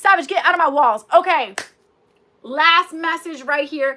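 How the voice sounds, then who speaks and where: A woman talks in an animated tone at a moderate pace, her voice raised and projected. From US, Cuban family. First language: Spanish. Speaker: YouTuber. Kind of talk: livestream chat, reading viewer stories. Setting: livestream with ring light.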